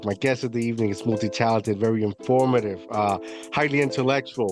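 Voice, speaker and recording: Music plays behind a man speaking at a very fast pace. His pitch is medium, with ordinary variation. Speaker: podcast host. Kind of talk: casual podcast talk.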